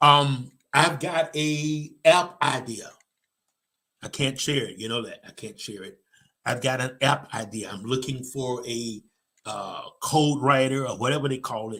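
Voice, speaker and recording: The voice has a bright, sharp, animated tone with ordinary pitch variation. Its loudness swings a lot. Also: man, medium pitch for a man. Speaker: motivational speaker and show host. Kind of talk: motivational talk, live stream. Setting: live stream with online comments. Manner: fast.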